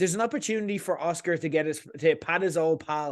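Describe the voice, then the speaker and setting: Against a quiet background, a man with an Irish accent speaks at a fairly quick pace in a fairly high pitch, with ordinary pitch variation. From Ireland. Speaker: podcast host, film commentator. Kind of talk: opinionated monologue. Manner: animated.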